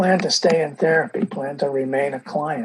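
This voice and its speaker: This somewhat breathy man has a fairly high pitch with ordinary pitch variation. He speaks at a moderate pace. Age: 70s. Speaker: marriage and family therapist. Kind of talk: interview. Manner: halting.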